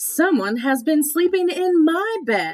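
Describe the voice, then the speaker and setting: A woman puts on a character voice at a high pitch. She speaks at a fairly slow pace. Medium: read story.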